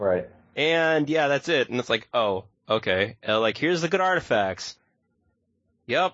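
In an American accent, the speaker moves at a fairly slow pace with long, frequent pauses, very wide pitch swings and very even loudness. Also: man, fairly high pitch for a man. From United States. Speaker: podcast co-host. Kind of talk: casual chat. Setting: remote audio call. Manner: animated.

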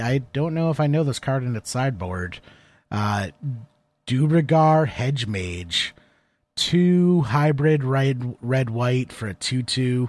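An ordinary speaking voice from a man, medium in pitch, fairly slow, with lively intonation, on a very clean recording with a silent background. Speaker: podcast co-host and card game player. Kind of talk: casual chat.

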